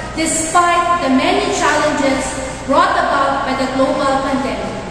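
Strong room echo and noticeable background noise surround a woman's voice. She speaks at a moderate pace with ordinary pitch variation. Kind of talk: formal ceremony speech. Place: church.

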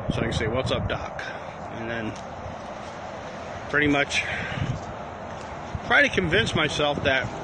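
Loud background noise competes with a man talking at a moderate pace. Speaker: livestreamer. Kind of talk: casual vlog chat. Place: open country. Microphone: phone near.

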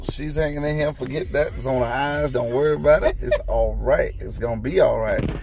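Noticeable background noise around a man's voice, with a dry sound and no echo. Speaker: family vlogger. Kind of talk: casual vlog chat. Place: car. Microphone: phone near.

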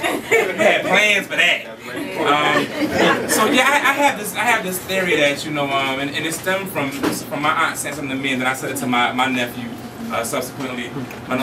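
Over loud background noise, a man talks at a fairly quick pace with a fairly high pitch. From Philadelphia. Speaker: spoken word poet. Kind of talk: casual talk to audience. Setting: live venue. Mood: warm, humorous. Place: hall. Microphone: camera far.

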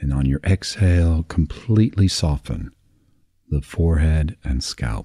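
Very deep and low in pitch, a man's dark, mellow voice sounds soothing and calm, somewhat breathy, with lively intonation at a fairly slow pace. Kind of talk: guided meditation for sleep. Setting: recorded audio for listening in bed. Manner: slow, soft, soothing, with long pauses; calm, gentle, hypnotic.

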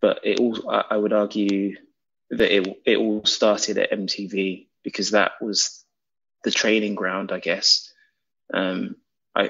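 A man with a London accent talks at a fairly slow pace. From England. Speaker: documentary director. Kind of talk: interview.

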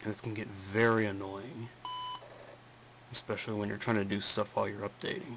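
Over noticeable background noise, a man with a fairly low pitch talks at a fairly quick pace, with fairly even intonation and long, frequent pauses. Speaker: computer hobbyist. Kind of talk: screen-recording tutorial talk. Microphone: phone near.

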